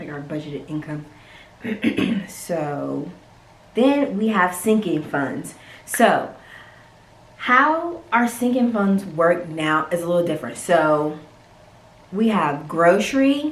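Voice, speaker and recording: A woman with an American accent, fairly low in pitch, at a very slow pace with long, frequent pauses, very wide pitch swings and big swings in loudness, over noticeable background noise. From North Carolina. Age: 20s. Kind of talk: casual talk to camera.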